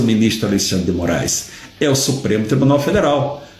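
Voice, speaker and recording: At a fairly quick pace, the voice carries audible room echo along with noticeable background noise. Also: man. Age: 60s. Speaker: retired judge, political commentator. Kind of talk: live stream commentary. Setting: live social media broadcast.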